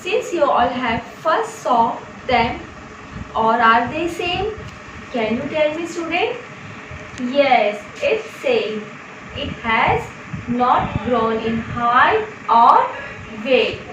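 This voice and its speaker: Amid audible room echo and noticeable background noise, a woman with a high pitch speaks very slowly, pausing long and often. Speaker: teacher. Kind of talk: lecture. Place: home room. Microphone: camera far.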